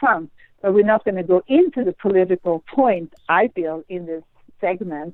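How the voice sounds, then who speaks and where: A woman's medium-pitched voice with a slight Swedish accent. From Sweden. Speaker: astrologer. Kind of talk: interview conversation.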